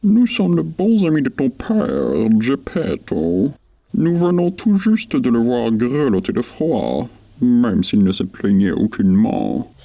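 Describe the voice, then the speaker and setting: A man puts on a character voice, keeping a medium pitch and moving at a fairly slow pace. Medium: read story. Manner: sly, smooth.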